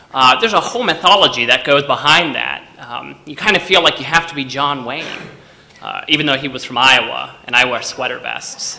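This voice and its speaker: Over noticeable background noise and audible room echo, a man with an American accent speaks at a fairly quick pace and a fairly high pitch, with ordinary pitch variation and big swings in loudness. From Texas. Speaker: storyteller. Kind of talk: stage storytelling. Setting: stage with audience.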